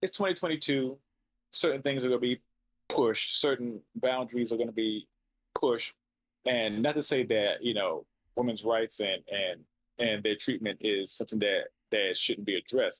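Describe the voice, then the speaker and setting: In an ordinary speaking voice with ordinary pitch variation and very even loudness, the speaker talks at a moderate pace, with a dry, close sound with no echo. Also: man, medium pitch for a man. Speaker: podcast host. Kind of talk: casual chat.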